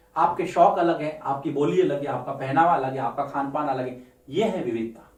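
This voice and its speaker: Room echo is audible as the words come at a moderate rate. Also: man. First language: Marwari (speaking Hindi). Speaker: teacher. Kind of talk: lecture.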